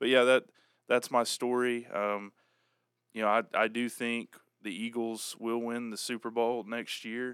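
Fairly slow speech in an American accent stays monotone, with flat intonation. The recording is very clean, with a silent background and a dry, close sound with no echo. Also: man, medium pitch for a man. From Oklahoma, US. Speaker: sports fan guest. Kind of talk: casual chat.

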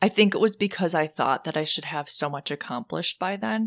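In a very clean recording with a silent background and a dry, close sound with no echo, a woman with an ordinary speaking voice talks at a moderate pace and fairly low pitch with lively intonation. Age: 40s. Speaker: podcast co-host. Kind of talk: casual chat.

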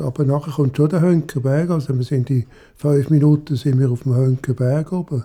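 At a moderate pace, a man speaks in a dark, mellow, somewhat breathy tone with fairly even intonation. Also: fairly high pitch for a man. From Zurich, Switzerland. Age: 80s+. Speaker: retiree. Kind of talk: interview testimony.

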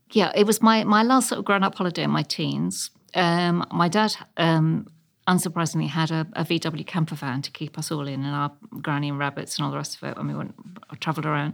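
A woman with a southern English accent and a very deep, low pitch speaks at a fairly quick pace with ordinary pitch variation on a very clean recording with a silent background. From London (Chelsea and Ealing). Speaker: architectural historian and local councillor. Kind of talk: interview.

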